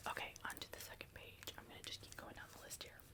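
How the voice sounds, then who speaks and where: A woman whispers over noticeable background noise. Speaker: ASMR creator. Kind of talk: ASMR roleplay, personality test reading. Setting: close-mic studio. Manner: soft-spoken, whispering, calming.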